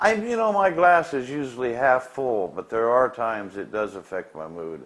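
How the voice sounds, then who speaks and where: Lively intonation colors this man's speech. He moves at a moderate pace. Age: 60s. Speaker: heart patient. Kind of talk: interview testimony. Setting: hospital. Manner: halting.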